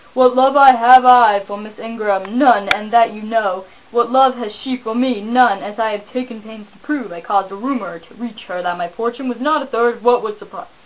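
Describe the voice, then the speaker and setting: A woman's fairly high, put-on character voice at a moderate pace. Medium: solo performance. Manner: passionate, insistent.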